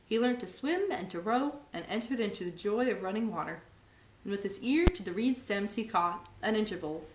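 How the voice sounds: What you hear is a natural reading voice.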